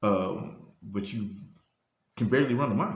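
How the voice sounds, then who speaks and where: There is audible room echo around this man's medium-pitched voice. He sounds somewhat breathy, with lively intonation. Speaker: motivational youtuber. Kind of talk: motivational talk. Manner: fast; halting, repeats words.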